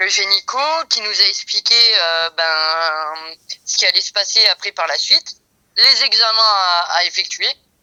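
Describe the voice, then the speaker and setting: Dry, close sound with no echo around a woman's fairly slow delivery. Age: 40s. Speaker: interviewee in a testimony podcast. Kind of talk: casual interview testimony. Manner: hesitant, many fillers.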